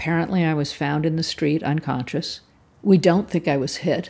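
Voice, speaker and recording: The tone is dark and mellow, with fairly even intonation. The recording is very clean, the background silent. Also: woman. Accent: Californian. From US West Coast, Palo Alto, California. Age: 60s. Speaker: cyclist interviewee. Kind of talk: personal storytelling interview.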